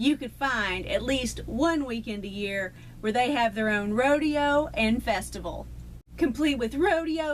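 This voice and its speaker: A woman speaks with a Texan accent and lively intonation. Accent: Texan, still present. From Texas. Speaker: YouTuber. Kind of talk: casual vlog talk to camera.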